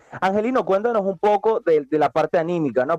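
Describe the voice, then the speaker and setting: Music plays behind a man whose intonation is lively, the sound dry and close with no echo. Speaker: combat sports radio host. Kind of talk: radio talk show.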